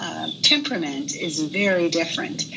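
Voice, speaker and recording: A woman with a very deep, low pitch speaks at a very slow pace amid noticeable background noise. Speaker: participant. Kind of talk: sharing in group discussion.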